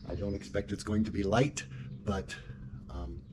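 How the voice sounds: Moving at a fairly quick pace, a man speaks at a low pitch with little pitch movement.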